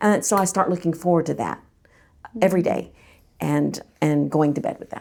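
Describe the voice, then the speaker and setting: The recording is very clean and the background is silent. A woman is talking. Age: 60s. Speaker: church podcast panelist. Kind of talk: casual chat.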